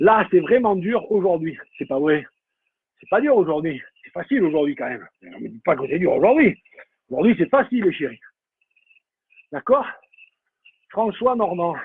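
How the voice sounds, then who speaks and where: A man with a high pitch speaks with very wide pitch swings and big changes in loudness. Long pauses come often. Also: fairly slow pace. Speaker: cycling coach. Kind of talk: live-streamed indoor cycling workout coaching. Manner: casual and animated.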